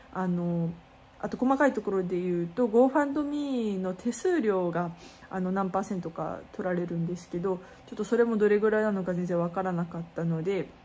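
A woman at a moderate pace, over light background noise. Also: ordinary pitch variation. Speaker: street performer vlogger. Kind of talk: casual vlog chat. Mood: worried but upbeat. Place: home room. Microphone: phone near.

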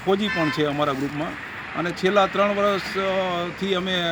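Against noticeable background noise, a man with a high pitch speaks in fairly even intonation. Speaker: retired police officer, cow-welfare volunteer. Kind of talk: interview answers.

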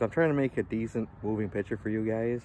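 With a dry sound and no echo, a man speaks at a fairly low pitch with fairly even intonation. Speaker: garage vlogger. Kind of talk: casual vlog chat. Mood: joking, amused. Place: street. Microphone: phone near.

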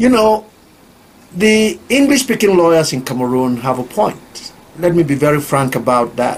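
At a moderate pace, a man talks with very wide pitch swings. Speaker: lawyers' council president. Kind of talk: interview answer. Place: office. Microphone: handheld.

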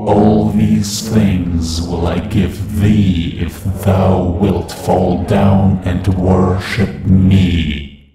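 Over faint background music and with clear echo, a man uses a put-on character voice at a very deep, low pitch and a very slow pace. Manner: evil, sinister.

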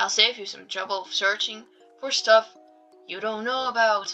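This is plain reading aloud. The text is read through as written.

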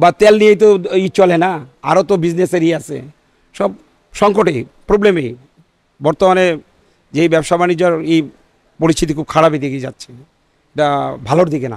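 Against a quiet background, a man talks at a high pitch with ordinary pitch variation, and the sound is dry with no echo. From Bangladesh, Munshiganj; Bangladesh. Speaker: petrol pump owner. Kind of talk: street interview. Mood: concerned about business situation. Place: office. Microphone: handheld.

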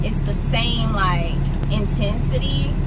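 Loud background noise fills the clip while a woman talks. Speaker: truck driver vlogger. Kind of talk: casual vlog chat. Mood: relaxed, chatty a lot. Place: car. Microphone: phone near.

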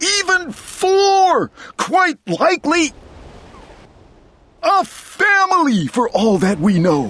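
This put-on character voice leaps through very wide pitch swings. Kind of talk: children's read-aloud. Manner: earnest, gentle, caring.

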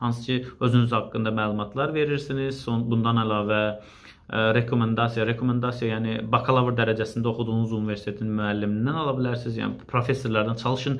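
Monotone and flat, a man at a medium pitch speaks at a very fast pace. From Azerbaijan. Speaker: civil servant and video blogger. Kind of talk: Q&A video monologue. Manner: halting, with many fillers. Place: office. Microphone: phone near.

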